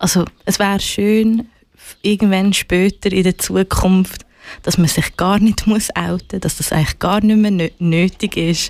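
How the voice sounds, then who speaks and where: A woman at medium pitch, fairly slow in pace, with fairly even intonation and a normal speaking voice. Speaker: musician and activist. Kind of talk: casual interview.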